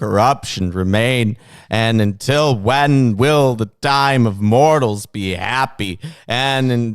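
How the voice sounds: The pitch shows ordinary variation. It is a natural reading voice.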